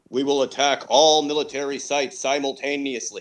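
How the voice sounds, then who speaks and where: Putting on a character voice, a man talks at a fairly quick pace with a fairly high pitch. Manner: ominous, menacing.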